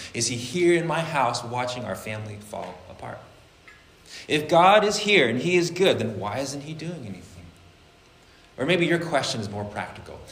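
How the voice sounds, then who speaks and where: With noticeable background noise behind him, a man speaks with very wide pitch swings, big swings in loudness and long, frequent pauses. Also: fairly high pitch for a man, moderate pace. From Vietnamese-American church community. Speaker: pastor. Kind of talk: sermon. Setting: church.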